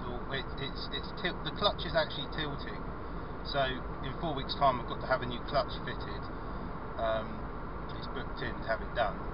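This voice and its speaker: A man's dry voice with no echo sits over loud background noise. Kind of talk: casual vlog chat. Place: car. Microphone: camera far.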